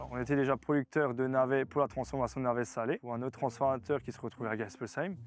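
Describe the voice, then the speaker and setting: A man holds a medium pitch with fairly even intonation while talking at a very fast pace. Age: 20s. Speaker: farmer and food producer. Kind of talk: interview. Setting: outdoors in a field.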